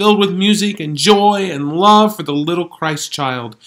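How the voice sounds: A natural reading voice, with pitch that varies in an ordinary way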